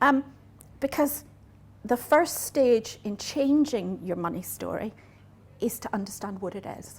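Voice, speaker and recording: A woman with a Northern Irish accent speaks at a fairly slow pace in a somewhat breathy voice, leaving long, frequent pauses as her loudness swings widely. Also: fairly high pitch for a woman, lively intonation. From Northern Ireland. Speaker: business coach. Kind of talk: talk to a live audience.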